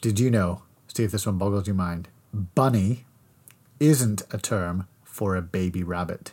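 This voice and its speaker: On a very clean recording with a silent background, a man with a fairly low pitch talks at a fairly slow pace in a playful, animated tone. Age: 40s. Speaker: podcast co-host, father. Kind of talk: casual chat. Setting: home desk microphone.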